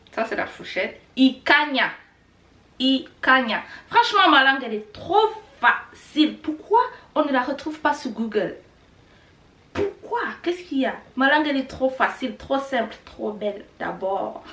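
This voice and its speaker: Speaking at a fairly slow pace, a woman with a Rwandan accent uses a raised, projected voice with a high pitch, a bright, sharp tone, lively intonation and big swings in loudness. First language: Kinyarwanda (speaking French). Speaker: language teacher youtuber. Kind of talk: tutorial. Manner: casual.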